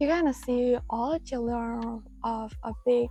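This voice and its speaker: A woman speaks with a calm tone. Music plays in the background. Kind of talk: motivational talk to camera. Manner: soft-spoken, calm.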